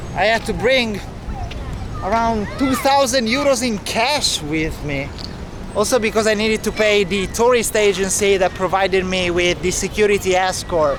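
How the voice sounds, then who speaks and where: Over crowd noise in the background, a man with a high voice and an Italian accent talks at a moderate pace with ordinary pitch variation. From Italy. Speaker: travel vlogger. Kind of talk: travel vlog narration. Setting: outdoors.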